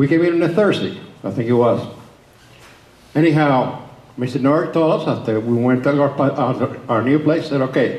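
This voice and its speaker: Amid audible room echo, a man with a Spanish accent and fairly high pitch speaks at a moderate pace with ordinary pitch variation and long, frequent pauses. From Cuba, then Oklahoma from his teens. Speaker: public speaker on Cuba. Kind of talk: talk to a political group. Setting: meeting hall with audience.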